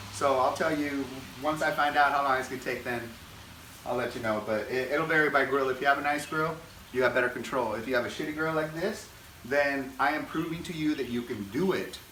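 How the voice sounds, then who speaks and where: A man with fairly high pitch and ordinary pitch variation talks at a fairly quick pace. There is audible room echo and noticeable background noise. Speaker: home cooking video host. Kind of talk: cooking tutorial. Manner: casual, loose.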